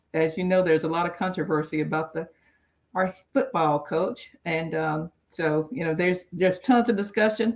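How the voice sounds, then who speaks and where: A woman's fairly low voice in a Southern US accent, at a fairly quick pace. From Alabama, Mobile. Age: 60s. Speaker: roundtable panelist. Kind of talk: casual chat.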